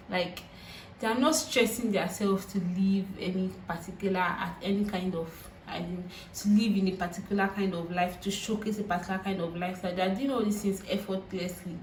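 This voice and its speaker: With a Nigerian accent, a woman of medium pitch talks at a fairly quick pace with fairly even intonation, amid noticeable background noise and audible room echo. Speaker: YouTuber. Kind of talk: vlog monologue. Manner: halting.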